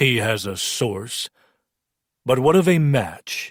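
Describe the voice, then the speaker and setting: A man uses a put-on character voice at a medium pitch, speaking at a very slow pace. The recording is very clean, with a silent background. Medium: read story. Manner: scornful, combative.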